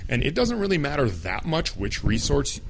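A man with an American accent at a fairly quick pace, audible room echo around him. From United States. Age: 30s. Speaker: podcast host. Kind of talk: solo podcast monologue.

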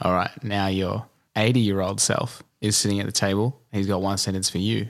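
With an Australian accent, a man talks fairly quickly at a fairly low pitch, his loudness very even and his intonation fairly even. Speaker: podcast host. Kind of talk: casual interview. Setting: at guest's home.

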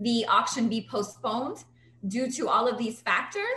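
Speech with an American accent amid noticeable background noise. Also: woman. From New York, South Bronx. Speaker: real estate agent and community advocate. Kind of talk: interview.

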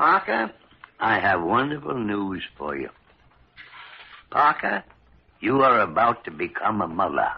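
A man puts on a character voice with a fairly low pitch, a slightly husky edge and vocal fry, swinging very widely in pitch at a fairly slow pace.

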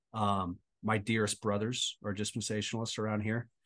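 A man with an American accent and a fairly low pitch, talking at a fairly quick pace against a quiet background. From Southern California. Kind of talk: interview testimony.

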